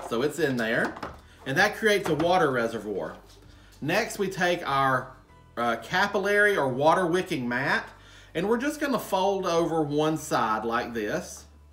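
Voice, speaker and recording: Fairly slow speech from a man, faint music in the background. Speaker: gardening channel host. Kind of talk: tutorial. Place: home room.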